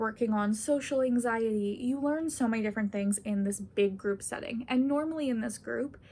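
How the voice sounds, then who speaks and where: Somewhat breathy and fairly high in pitch, a woman speaks with ordinary pitch variation. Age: 20s. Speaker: university student. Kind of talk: casual talk to camera.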